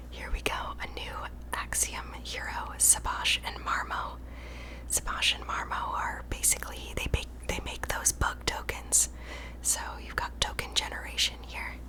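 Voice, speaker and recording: Over noticeable background noise, a woman speaks slowly in a very deep, low pitch with monotone, flat intonation. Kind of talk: ASMR card pack opening, host addressing viewers.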